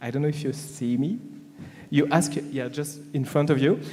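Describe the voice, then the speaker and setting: Speaking with a French accent, a man has a fairly high pitch and a dark, mellow tone. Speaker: business panelist. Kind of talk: panel discussion. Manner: halting, many fillers.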